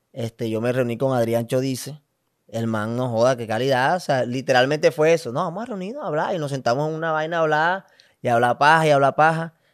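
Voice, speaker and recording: Over a quiet background, a man races along at a very fast pace with ordinary pitch variation. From Colombia, Valledupar; Colombia. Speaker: comedy content creator. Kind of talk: casual interview chat. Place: studio. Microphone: studio mic.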